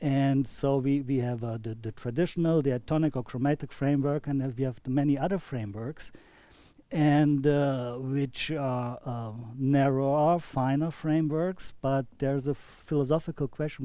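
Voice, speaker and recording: On a very clean recording with a silent background, a man with a dark, mellow tone talks at a moderate pace with fairly even intonation. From Germany. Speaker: saxophonist and improvisation teacher. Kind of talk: casual panel discussion.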